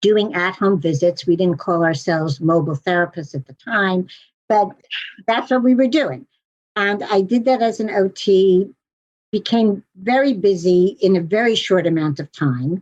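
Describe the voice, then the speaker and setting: An unremarkable speaking voice from a woman with an American accent, medium pitch, lively intonation and a moderate pace, in a dry, close sound with no echo. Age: 60s. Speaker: physical and occupational therapist, practice broker. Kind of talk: interview.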